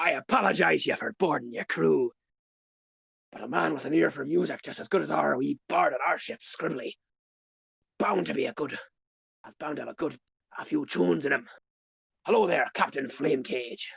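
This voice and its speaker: A man puts on a raspy character voice. He talks at a fairly quick pace, broken by long, frequent pauses. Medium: actual play. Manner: boisterous, teasing.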